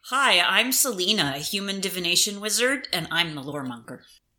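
Using a put-on character voice, a female-sounding voice speaks at a fairly quick pace with a medium pitch. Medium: actual play.

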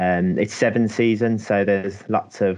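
In a monotone, flat intonation, a man speaks with a very deep, low pitch. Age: 20s. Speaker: university placement student. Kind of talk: casual interview. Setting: working from home.

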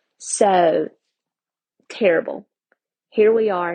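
The speaker is a woman with a medium pitch. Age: 30s. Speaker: podcast host. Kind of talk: personal storytelling monologue.

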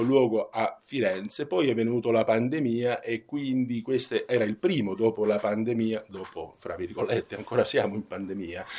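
In a Spanish accent, a man speaks at a moderate pace with a dark, mellow tone and ordinary pitch variation. The recording is very clean, with a silent background. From Spain. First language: Spanish (speaking Italian). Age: 50s. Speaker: professor of bioethics. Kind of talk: radio interview.

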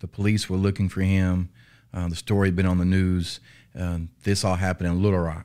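A man with a Southern US accent speaks at a fairly quick pace in a very deep, low voice with a dark, mellow tone and monotone, flat intonation, recorded very cleanly over a silent background. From Arkansas, US South. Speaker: police officer. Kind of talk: interview. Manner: halting.

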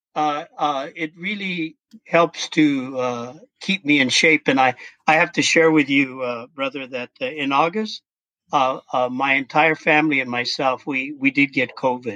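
The speaker talks at a fairly slow pace with ordinary pitch variation. The tone is bright and sharp, and the sound is dry and close with no echo. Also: man, fairly high pitch for a man. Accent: American. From Colorado. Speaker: sociology professor and activist. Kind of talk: casual interview. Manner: halting.

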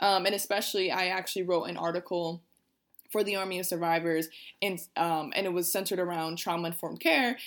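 The speaker is a woman with a fairly low pitch. Her pitch varies ordinarily. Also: very clean recording, silent background. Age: 20s. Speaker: podcast host. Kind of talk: casual interview. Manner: animated.

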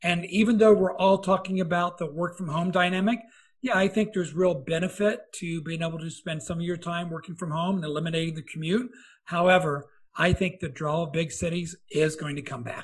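A man with an American accent speaks at a high pitch and a fairly quick pace. His intonation is fairly even over a quiet background. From US Midwest. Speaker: podcast host, company founder. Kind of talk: interview.

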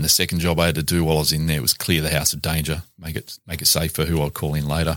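A man with an Australian accent talks at a very fast pace, his voice very deep and low with fairly even intonation. The recording is very clean, with a silent background. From Newcastle, New South Wales, Australia. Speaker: former police detective and author. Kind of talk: casual interview. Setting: studio.

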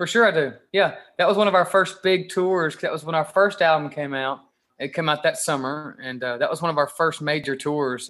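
Over a quiet background, a man talks at a fairly quick pace in a Kentucky accent. His tone is bright and sharp, with a fairly high pitch. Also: ordinary pitch variation. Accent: Southern US (Kentucky). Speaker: rock guitarist. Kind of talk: interview.

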